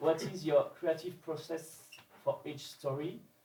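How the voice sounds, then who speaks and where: A man talks slowly, at a fairly slow pace, in a French accent. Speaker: audience member. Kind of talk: audience question read from notes. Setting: live event with audience.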